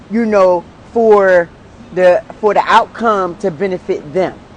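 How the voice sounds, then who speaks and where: Noticeable background noise sits under a woman speaking at a medium pitch and a fairly slow pace. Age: 60s. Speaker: podcast co-host. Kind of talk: casual chat. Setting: live stream.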